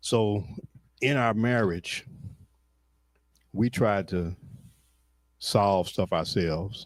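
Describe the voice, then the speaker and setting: A man's very deep, low voice carries ordinary pitch variation. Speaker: church member. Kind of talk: testimony.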